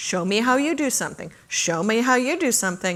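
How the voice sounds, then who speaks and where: A woman talks in an unremarkable speaking voice at a moderate pace. Her intonation is lively. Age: 60s. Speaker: conference speaker. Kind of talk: Q&A after a talk.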